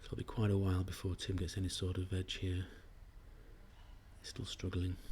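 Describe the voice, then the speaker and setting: Quietly and somewhat breathily, a man with a very deep, low pitch and a dark, mellow tone speaks at a fairly quick pace in a monotone, flat intonation. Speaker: backgammon commentator. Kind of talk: live commentary. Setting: live stream at a tournament venue.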